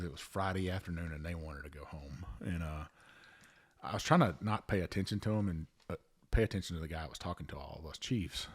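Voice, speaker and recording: A man with a Louisiana accent talks at a fairly quick pace in a very deep, low pitch with ordinary pitch variation, in a very clean recording with a silent background. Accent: Cajun Louisiana. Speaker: podcast host, Coast Guard veteran. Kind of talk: casual chat.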